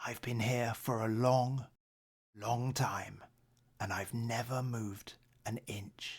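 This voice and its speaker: A man whispers in a put-on character voice, soft-spoken and at a fairly slow pace. Long, frequent pauses break up his speech. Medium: read story. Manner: soft, whispering.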